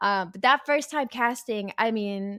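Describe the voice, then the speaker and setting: On a very clean recording with a silent background, a woman is heard with a dry, close sound with no echo. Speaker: esports caster and streamer. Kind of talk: interview. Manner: fast.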